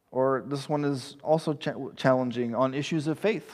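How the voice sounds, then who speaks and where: A man with an American accent has an unremarkable speaking voice, fairly high in pitch with ordinary pitch variation, on a very clean recording with a silent background. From East Texas. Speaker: pastor. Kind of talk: sermon.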